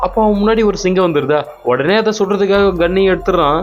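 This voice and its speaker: With music in the background, a man talks in a high pitch. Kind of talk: movie recap narration.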